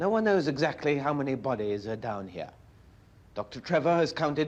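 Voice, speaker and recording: A man talks at a moderate pace and medium pitch. It is a plain, everyday voice. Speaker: television reporter. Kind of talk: documentary newsreel narration.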